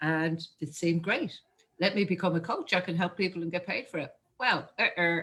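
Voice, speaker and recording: This woman speaks in an Irish accent at a moderate pace, her pitch fairly low. Her tone is bright and sharp, with ordinary pitch variation. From Ireland. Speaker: marketing coach. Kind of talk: interview.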